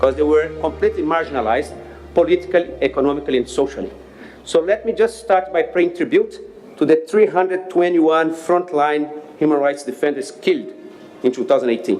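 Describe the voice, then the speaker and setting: Someone with a Brazilian accent talks at a fairly quick pace against noticeable background noise. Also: man. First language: Portuguese. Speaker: NGO leader. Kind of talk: speech at public discussion. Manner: hesitant, many fillers.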